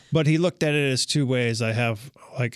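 A man with an American accent, a normal speaking voice at a moderate pace, in a very clean recording, silent background, dry, close sound with no echo. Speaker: painting contractor. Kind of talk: interview. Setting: studio.

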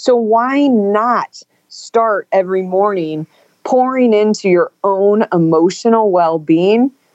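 A woman in an American accent speaks at a very slow pace, medium in pitch with ordinary pitch variation. The sound is dry and close with no echo. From Northern California. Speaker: author and business executive. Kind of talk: interview.

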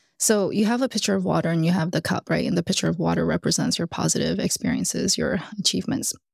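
Delivered in an American accent at a very fast pace with hardly any pauses, the speech has very even loudness and a dry, close sound with no echo. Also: woman. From US South, Alabama. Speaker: executive coach. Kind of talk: interview. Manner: animated.

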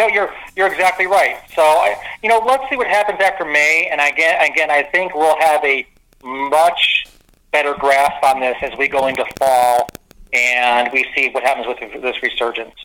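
A man with a normal speaking voice at a fairly high pitch and moderate pace. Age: 50s. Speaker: mayor. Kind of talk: casual chat.

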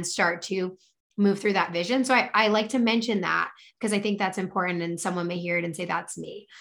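At a fairly quick pace, a woman speaks in an ordinary speaking voice, medium in pitch, with ordinary pitch variation. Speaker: author and podcaster. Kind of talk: casual interview.

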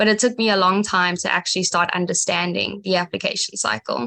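A woman speaks with a South African accent at a medium pitch. Her tone is bright and sharp, and the background is quiet. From South Africa, Johannesburg. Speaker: community college pre-med student. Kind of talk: interview.

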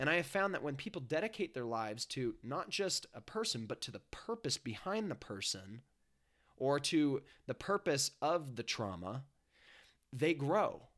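Against a silent background in a very clean recording, a man talks at a moderate pace with fairly high pitch and very wide pitch swings. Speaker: life coach. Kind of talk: casual chat.

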